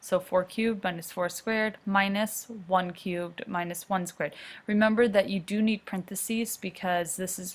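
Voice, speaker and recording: A somewhat breathy woman at a moderate pace, with fairly even intonation. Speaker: math teacher. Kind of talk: recorded lecture.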